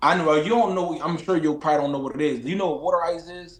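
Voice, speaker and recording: A fairly high-pitched man with a Philadelphia accent and an animated tone. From Philadelphia, US. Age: 20s. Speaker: boxer. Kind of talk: casual chat.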